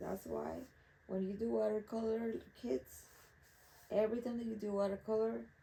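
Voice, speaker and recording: A woman speaks with a Spanish accent at a moderate pace. She leaves long, frequent pauses. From Mexico, Acapulco. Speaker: artist. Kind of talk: casual monologue while painting.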